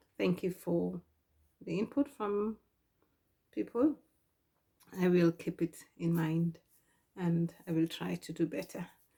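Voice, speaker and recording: Speaking fairly slowly, a woman uses a somewhat breathy voice pitched fairly low. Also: ordinary pitch variation. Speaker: sewing vlogger. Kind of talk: casual tutorial vlog. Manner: soft-spoken; hesitant, many ums.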